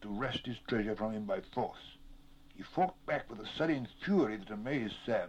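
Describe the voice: Simple, plain reading aloud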